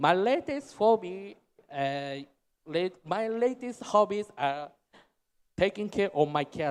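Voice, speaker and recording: At a very slow pace, a man speaks with a high pitch and lively intonation, leaving long, frequent pauses. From Japan, Shizuoka Prefecture. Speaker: technology executive. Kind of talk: keynote presentation. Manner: halting.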